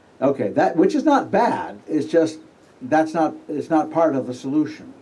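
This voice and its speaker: A man speaks at a moderate pace in a fairly high pitch, his tone dark and mellow with some vocal fry. His intonation is lively, and the room echo is audible. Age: 70s. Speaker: astrologer giving a conference talk. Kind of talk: conference lecture. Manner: halting, with fillers.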